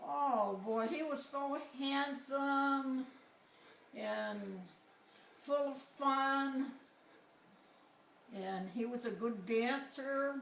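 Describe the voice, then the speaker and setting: Amid noticeable background noise, a woman with a high voice speaks at a very slow pace with ordinary pitch variation. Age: 80s+. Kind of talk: interview answer.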